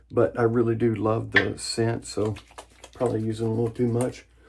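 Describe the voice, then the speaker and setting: Here a man talks at a moderate pace. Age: 50s. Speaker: wet shaving YouTuber. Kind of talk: casual vlog talk to camera. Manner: casual, rambling with fillers.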